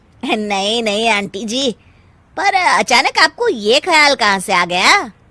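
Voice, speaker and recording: With very wide pitch swings, a woman performs a fairly high, cartoonish character voice. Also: fairly slow pace. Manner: polite, laughs easily.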